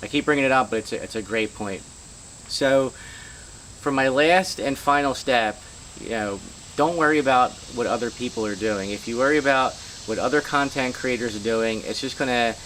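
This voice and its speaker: Noticeable background noise runs behind a man's voice. He leaves long, frequent pauses. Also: medium pitch for a man, ordinary pitch variation, moderate pace. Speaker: YouTube creator giving channel tips. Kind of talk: casual vlog tutorial. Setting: outdoors. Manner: casual, filler-heavy.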